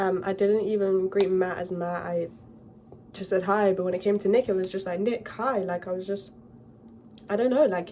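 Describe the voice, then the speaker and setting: A woman with a British accent talks at a moderate pace and medium pitch, with fairly even intonation, long, frequent pauses and noticeable background noise. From UK. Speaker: YouTuber. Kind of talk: storytime vlog.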